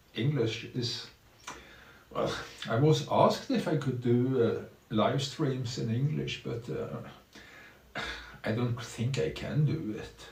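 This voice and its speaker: The speech comes at a very slow pace with ordinary pitch variation. Audible room echo and noticeable background noise are present. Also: man, medium pitch for a man. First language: Norwegian. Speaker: streamer. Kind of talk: live stream commentary. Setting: small room at home. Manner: halting, many fillers.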